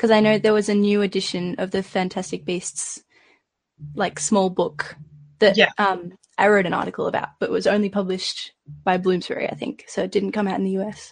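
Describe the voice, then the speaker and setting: A woman's somewhat breathy voice at medium pitch, moderate in pace, with fairly even intonation. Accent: Australian. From Australia. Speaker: podcast panelist. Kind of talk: casual chat.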